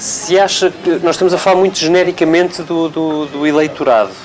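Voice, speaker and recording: A woman's fairly low voice at a moderate pace, fairly even in intonation, with noticeable background noise. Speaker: journalist. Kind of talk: interview. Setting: live broadcast from a café.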